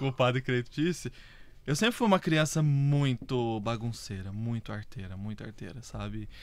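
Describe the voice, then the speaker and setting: A man talks in an ordinary speaking voice at a medium pitch, with ordinary pitch variation. His loudness rises and falls in big swings. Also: moderate pace. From Brazil, southern Minas Gerais (Varginha). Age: 30s. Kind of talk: casual interview chat.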